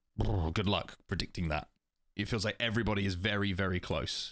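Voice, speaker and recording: A man with an English accent speaks at a very fast pace in a fairly low pitch with fairly even intonation, in a very clean recording with a silent background. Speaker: esports podcast host. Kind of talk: casual discussion.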